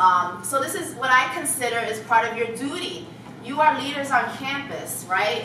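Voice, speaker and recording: An American accent amid audible room echo and noticeable background noise. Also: woman. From New York City. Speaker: keynote speaker. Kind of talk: keynote speech. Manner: fast.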